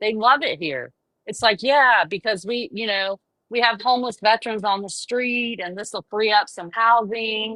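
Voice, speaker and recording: Fairly high in pitch with ordinary variation, a woman speaks with a Southern US accent. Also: moderate pace. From US South, Charleston, South Carolina. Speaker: caller. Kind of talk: casual chat. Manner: halting.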